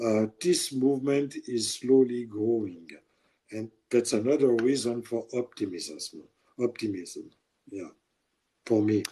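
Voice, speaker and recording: With a French accent, a man of medium pitch and dark, mellow tone speaks fairly slowly, leaving long, frequent pauses. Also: ordinary pitch variation. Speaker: journalist. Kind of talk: interview. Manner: halting.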